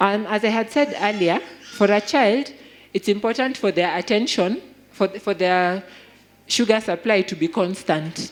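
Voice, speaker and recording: This woman talks at a medium pitch with ordinary pitch variation. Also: moderate pace. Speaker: health speaker. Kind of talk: health talk.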